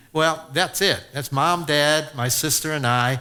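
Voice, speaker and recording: Speaking fairly slowly with ordinary pitch variation, a man has a plain, everyday voice with an American accent. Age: 60s. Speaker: sportscaster. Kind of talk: testimony. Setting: church with audience. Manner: conversational, with many fillers.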